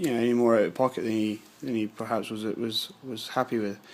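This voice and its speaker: A man with a British accent at a moderate pace. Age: 20s. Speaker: scale modelling youtuber. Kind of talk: casual vlog. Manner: hesitant, many fillers.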